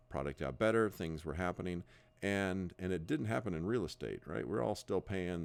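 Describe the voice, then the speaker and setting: A man with a very deep, low voice and an American accent. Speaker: real estate broker. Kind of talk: sales pitch. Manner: halting, many fillers and repeats.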